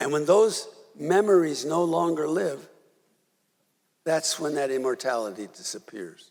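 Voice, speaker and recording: With an American accent, a man speaks in a fairly high pitch and lively intonation, leaving long, frequent pauses amid audible room echo. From US Midwest, Milwaukee. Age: 80s+. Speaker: rabbi. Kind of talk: sermon. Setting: synagogue service. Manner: conversational, halting.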